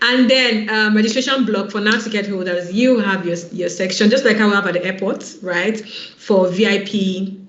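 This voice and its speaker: There is audible room echo. Noticeable background noise is also present. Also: woman. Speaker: online event organizer. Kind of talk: online info session presentation. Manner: fast; animated.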